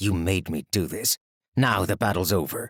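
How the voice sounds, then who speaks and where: In a put-on character voice, a man growls at a fairly low pitch and moderate pace, the sound dry and close with no echo. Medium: read story. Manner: cold, clipped.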